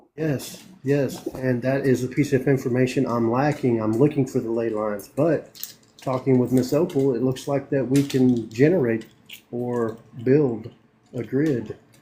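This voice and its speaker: A man speaks with a Southern US accent at a fairly slow pace. His intonation stays fairly even. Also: medium pitch for a man. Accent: country Southern. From US South, northeast Tennessee (Morristown). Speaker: army veteran planning a rural sanctuary. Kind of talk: casual chat.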